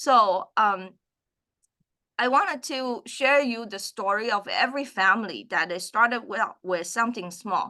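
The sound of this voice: Her voice has a bright, sharp tone, as this woman speaks at a medium pitch with lively intonation and a fairly slow pace.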